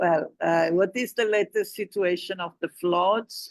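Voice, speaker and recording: The speaker talks at a very slow pace. The words come in an Italian accent. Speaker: moderator posing questions to a guest. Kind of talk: non-native English, formal discussion. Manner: hesitant, many filler sounds.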